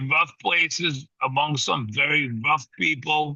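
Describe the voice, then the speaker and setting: With a New York accent, the speaker goes at a very slow pace with ordinary pitch variation. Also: man. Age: 60s. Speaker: boxing trainer. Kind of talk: casual interview. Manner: animated.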